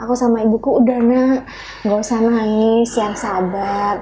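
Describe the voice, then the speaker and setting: A woman speaks at a very slow pace over noticeable background noise. Her voice is fairly high with fairly even intonation. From Madura, Indonesia. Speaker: singer. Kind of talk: interview chat.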